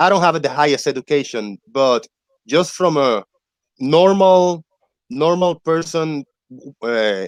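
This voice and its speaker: A man's fairly high voice with a non-native accent, very slow and full of long, frequent pauses, with lively intonation and a dry, close sound with no echo. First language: not English. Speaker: debunker of flat earth claims. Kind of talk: casual chat.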